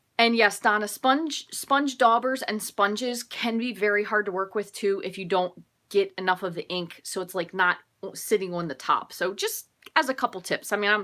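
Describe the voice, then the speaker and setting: A woman speaks at a moderate pace with a medium pitch. Her tone is bright and sharp, and her pitch varies in an ordinary way. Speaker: paper craft demonstrator. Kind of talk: live craft tutorial. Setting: live stream with chat. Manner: tends to talk loud; casual, chatty.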